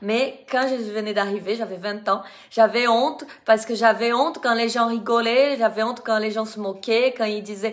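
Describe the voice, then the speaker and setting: A woman with a Brazilian accent and a fairly high pitch. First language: Portuguese (speaking French). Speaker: dance teacher. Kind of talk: live video testimony. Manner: halting.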